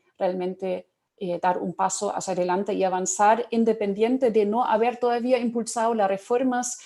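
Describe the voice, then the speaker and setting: A woman with a German accent, medium pitch, a dark, mellow tone, fairly even intonation and a moderate pace. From Germany. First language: German (speaking Spanish). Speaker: panelist, public policy expert. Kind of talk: panel talk. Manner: halting, many fillers.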